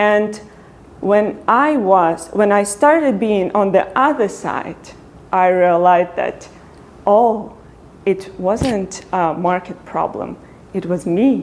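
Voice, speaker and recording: With a non-native accent, a woman of medium pitch talks at a very slow pace with ordinary pitch variation. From Ukraine. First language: Ukrainian. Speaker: product designer. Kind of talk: talk to meetup audience.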